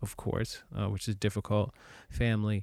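On a very clean recording with a silent background, a man with an unremarkable speaking voice and a fairly low pitch talks at a moderate pace. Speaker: actor and podcast host. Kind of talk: casual conversational podcast. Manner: informal, candid, talkative.

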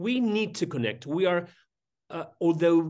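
Against a quiet background, a man speaks at a high pitch with a Spanish accent. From Madrid, Spain. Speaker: surgeon and professor. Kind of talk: interview, conversational. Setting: remote call. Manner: searching for words, careful.

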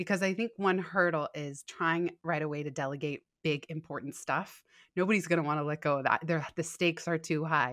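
In a very clean recording with a silent background and a dry, close sound with no echo, a woman with an unremarkable speaking voice and a fairly low pitch talks at a moderate pace with fairly even intonation. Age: 30s. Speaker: author and podcaster. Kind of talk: interview.

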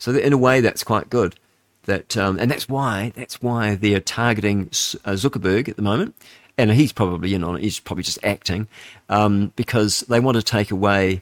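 Recorded very cleanly against a silent background, with a dry, close sound and no echo, a man with a New Zealand accent speaks at a fairly low pitch with ordinary pitch variation. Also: moderate pace. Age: 60s. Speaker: radio host. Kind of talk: talk radio monologue.

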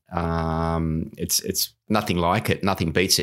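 The background is silent on a very clean recording. A man talks with an Australian accent. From Australia, New South Wales Central Coast. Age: 50s. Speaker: masters swimmer and surf swimming coach. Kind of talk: casual interview. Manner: halting.

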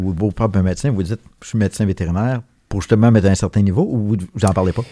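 Very fast speech with a Quebec accent, a dark, mellow tone and fairly even intonation, on a very clean recording with a silent background and a dry, close sound with no echo. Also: man. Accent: Québécois French. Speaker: veterinarian. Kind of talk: interview.

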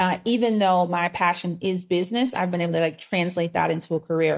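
The pitch shows ordinary variation. It is a normal speaking voice. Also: woman. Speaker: business operations coach. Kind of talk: interview.

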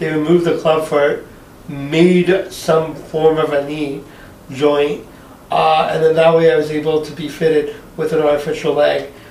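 Amid noticeable background noise and audible room echo, a man with a fairly high pitch speaks at a moderate pace with monotone, flat intonation. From Montreal, Quebec. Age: 40s. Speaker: stand-up comedian. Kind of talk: casual chat.

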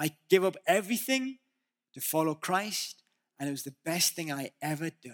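With a northern English accent, a man speaks at a high pitch and moderate pace in a dry, close sound with no echo. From northeast England. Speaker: visiting preacher. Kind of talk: sermon. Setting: church.

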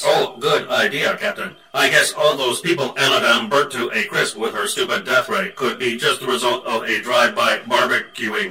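A man's put-on character voice at a moderate pace, with clear background noise. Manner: sarcastic, bickering.

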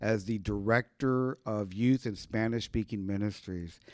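Recorded very cleanly against a silent background, with a dry, close sound and no echo, an unremarkable speaking voice with an American accent moves at a fairly slow pace with ordinary pitch variation. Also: man. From Ohio. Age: 50s. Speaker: pastor. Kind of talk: casual interview.

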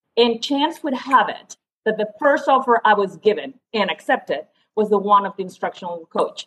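The speaker is a woman with a Spanish accent. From Spain. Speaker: leadership coach and educator. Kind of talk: podcast interview.

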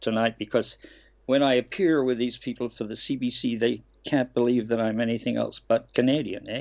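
An Australian accent comes through as a man speaks at a moderate pace with medium pitch and ordinary pitch variation. The background is quiet. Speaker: actor. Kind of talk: interview.

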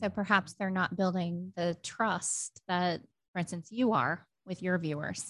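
An unremarkable speaking voice is heard against a quiet background. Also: woman, medium pitch for a woman, fairly even intonation, fairly slow pace. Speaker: podcast host. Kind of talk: casual interview.

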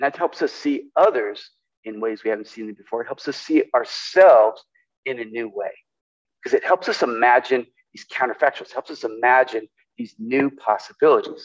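At a moderate pace, a man speaks in a dry, close sound with no echo. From California. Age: 60s. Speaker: pastor. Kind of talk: sermon.

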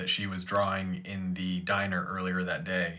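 There is audible room echo around this man's voice. He speaks with an American accent in a fairly low, bright, sharp tone. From Ohio. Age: 30s. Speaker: podcast co-host. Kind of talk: casual chat.

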